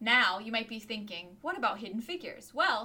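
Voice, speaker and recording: At a moderate pace, a woman uses a normal speaking voice with a fairly high pitch and lively intonation. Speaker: podcast co-host.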